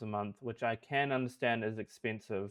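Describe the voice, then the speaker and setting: With a New Zealand accent, a man talks at a moderate pace and ordinary pitch variation. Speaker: software developer. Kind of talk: product review tutorial.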